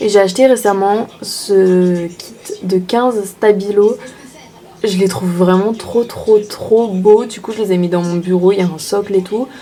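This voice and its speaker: A woman speaks in a medium pitch with fairly even intonation. Noticeable background noise runs behind her. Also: big swings in loudness. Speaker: beauty vlogger. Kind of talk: casual vlog. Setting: hotel room. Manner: soft-spoken; casual, filler-heavy.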